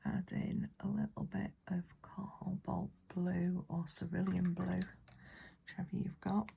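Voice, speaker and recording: Someone whispers in a British accent. The pace is very slow. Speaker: watercolour painting teacher. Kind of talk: tutorial. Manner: soft-spoken; whispering.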